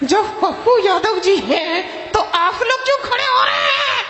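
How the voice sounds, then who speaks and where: Someone shouts in a put-on character voice at a moderate pace. Loud background noise and a clear echo fill the recording. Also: man, extremely high pitch for a man. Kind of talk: live stage comedy show.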